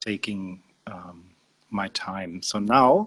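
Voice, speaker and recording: This man talks in a fairly low pitch with a non-native accent. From Austria. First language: German. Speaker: spiritual teacher. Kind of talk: interview. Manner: slow; halting.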